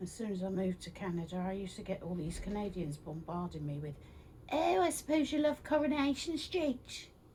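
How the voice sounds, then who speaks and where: A woman with a dark, mellow tone and a somewhat breathy voice speaks at medium pitch and a fairly quick pace, her pitch swinging very widely. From London, England. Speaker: crafter vlogger. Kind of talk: casual tutorial vlog.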